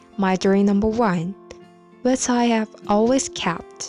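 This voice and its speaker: A woman speaks at a fairly slow pace in a fairly high pitch, her pitch varying in an ordinary way over music in the background. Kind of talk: ASMR bedtime book reading.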